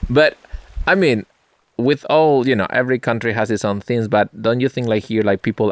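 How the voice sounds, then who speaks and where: A man with a non-native accent talks at a fairly quick pace, the sound dry and close with no echo. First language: not English. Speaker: podcast host. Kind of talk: casual chat.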